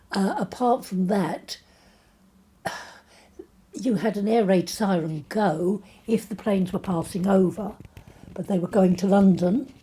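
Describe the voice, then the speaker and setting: The voice has a dark, mellow tone and is somewhat breathy, moving at a fairly slow pace with long, frequent pauses and ordinary pitch variation. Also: woman, medium pitch for a woman. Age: 80s+. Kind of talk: interview answer.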